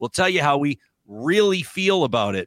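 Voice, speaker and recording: With a Canadian accent and a bright, sharp tone, a man speaks at a fairly slow pace through very wide pitch swings, in a very clean recording with a silent background and a dry, close sound with no echo. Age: 40s. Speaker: podcast host. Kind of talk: casual chat.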